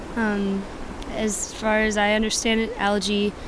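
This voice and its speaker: A woman with a West Coast accent speaks at a medium pitch. There is audible room echo and noticeable background noise. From US Pacific Northwest, Washington State. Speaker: musician and visual artist. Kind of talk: casual interview. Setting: outdoors on a beach.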